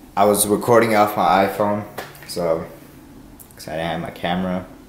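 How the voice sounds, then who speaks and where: A man's fairly low voice, with audible room echo and light background noise. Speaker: vlogger. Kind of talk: casual vlog chat. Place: home room. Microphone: phone near.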